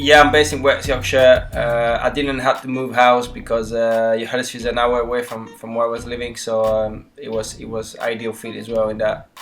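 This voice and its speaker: With music in the background, a man of medium pitch speaks at a moderate pace in a monotone, flat intonation, with hardly any pauses and big swings in loudness. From Switzerland, Neuchâtel. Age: 30s. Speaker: football goalkeeper. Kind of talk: podcast interview. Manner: halting, many fillers.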